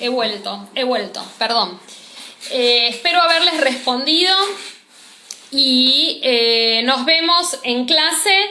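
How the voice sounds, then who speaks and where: Lively intonation comes through at a very slow pace with long, frequent pauses, amid noticeable background noise and audible room echo. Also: woman, high pitch for a woman. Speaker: cosmetology teacher. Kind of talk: live-streamed class.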